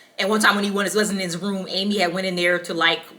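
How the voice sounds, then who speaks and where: A woman speaks at a fairly quick pace and a medium pitch, with fairly even intonation. Noticeable background noise runs beneath her voice. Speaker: book reviewer. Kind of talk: casual book review vlog. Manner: casual, filler-heavy with ums.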